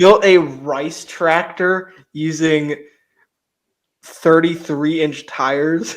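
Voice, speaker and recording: A man with a slight West Virginia accent speaks at a fairly high pitch. His pace is very slow, broken by long, frequent pauses. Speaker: motorized bike YouTuber, podcast co-host. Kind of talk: casual chat. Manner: animated.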